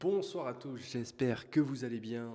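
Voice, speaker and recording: The man's voice has a dark, mellow tone. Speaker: YouTube trends commentator. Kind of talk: casual vlog commentary. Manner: soft-spoken. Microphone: poor sound quality.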